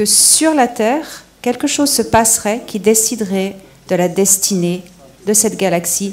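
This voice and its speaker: Over noticeable background noise, a woman speaks at a very slow pace with a medium pitch. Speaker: panel speaker on extraterrestrial topics. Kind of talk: question and answer session. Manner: halting.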